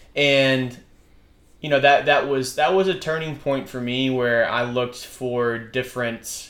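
Here a man speaks with an American accent at a fairly slow pace. His pitch is medium, and room echo is audible. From US South, Birmingham, Alabama. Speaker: guest sharing faith story. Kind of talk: casual faith conversation. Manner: halting.

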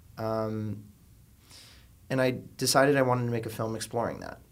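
Amid audible room echo, a man in an American accent speaks at a moderate pace with monotone, flat intonation. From South Florida, suburbs of Miami. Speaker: filmmaker. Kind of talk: casual interview. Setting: studio.

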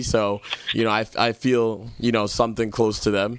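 There is noticeable background noise. A man speaks at a moderate pace and a medium pitch. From Jamaica. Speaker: podcast host and DJ. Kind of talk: casual political chat. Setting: studio.

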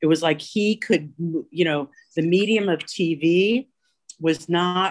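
This woman has a fairly low pitch and ordinary pitch variation. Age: 60s. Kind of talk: casual chat. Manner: halting.

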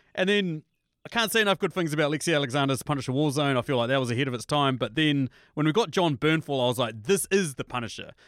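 Very fast, animated speech in a New Zealand accent, dry and close with no echo over a silent, very clean background. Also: man. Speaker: first-time published author. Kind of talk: casual chat. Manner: animated, excitable.

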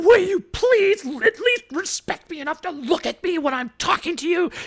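Extremely high and shrill, this is a put-on character voice. It moves at a moderate pace. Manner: demanding, indignant.

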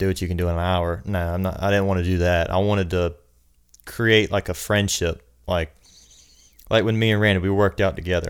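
A man's very deep, low voice with a Southern US accent, monotone and flat, broken by long, frequent pauses. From South Carolina, US. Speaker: personal trainer. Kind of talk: casual chat.

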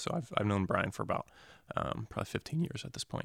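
On a very clean recording with a silent background, a man talks in a Southwest US accent, the sound dry and close with no echo. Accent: General American (Southwest US). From Arizona (North Phoenix), born in New Jersey. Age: 20s. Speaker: financial advisor sharing a personal faith story. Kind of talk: testimony in a casual interview. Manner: halting, many fillers and repeated words.

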